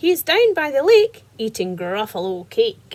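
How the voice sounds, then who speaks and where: A woman's put-on character voice, high-pitched and full of very wide pitch swings. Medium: read story.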